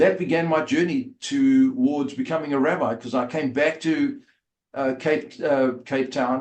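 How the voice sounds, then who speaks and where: A man in a South African accent, fairly high in pitch, at a fairly slow pace with very wide pitch swings. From South Africa, Port Elizabeth. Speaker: rabbi and former rugby player. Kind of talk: interview storytelling. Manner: halting, many fillers.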